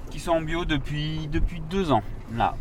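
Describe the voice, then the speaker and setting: A man speaking fairly slowly, with audible room echo and noticeable background noise. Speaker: winemaker. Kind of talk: interview in the vineyard. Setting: outdoors in a vineyard. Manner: halting, many fillers.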